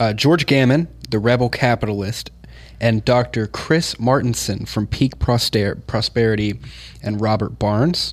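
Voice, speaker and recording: Talking at a fairly slow pace, a man with an American accent and an ordinary speaking voice keeps a medium pitch with ordinary pitch variation. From Kansas, US. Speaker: producer or show crew member. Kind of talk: casual chat.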